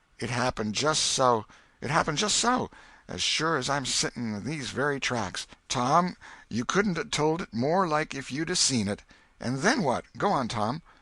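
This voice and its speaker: Raspy, fairly high-pitched put-on character voice of a man in a Missouri accent, lively intonation at a moderate pace against a quiet background. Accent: rustic Missouri dialect. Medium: read story. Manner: homely, exclamatory.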